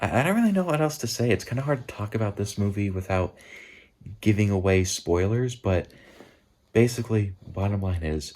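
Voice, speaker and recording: On a very clean recording with a silent background, a man speaks quietly at a moderate pace and a fairly low pitch, his tone dark and mellow, his pitch varying in an ordinary way, with long, frequent pauses. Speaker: movie reviewer vlogger. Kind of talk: casual vlog review. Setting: at a relative's house at night. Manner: quiet, hushed; halting, repeats words.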